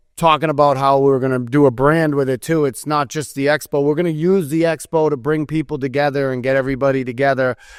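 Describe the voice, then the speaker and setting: Fairly quick, fairly even speech with an American accent on a very clean recording with a silent background. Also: man. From New England (Massachusetts). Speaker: construction event organizer, podcast co-host. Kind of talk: casual chat.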